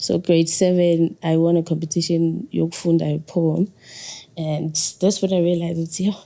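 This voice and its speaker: A woman's calm, dark, mellow voice in a Zulu accent, fairly low in pitch, flat and monotone, at a moderate pace. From South Africa, KwaZulu-Natal (Ladysmith). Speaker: poet and musician. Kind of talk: interview.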